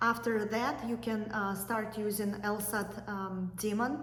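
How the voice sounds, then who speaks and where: Fairly high-pitched, a woman speaks with fairly even intonation. Noticeable background noise and audible room echo surround her voice. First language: not English. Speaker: YouTuber, law school applicant. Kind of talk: tutorial. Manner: hesitant with fillers.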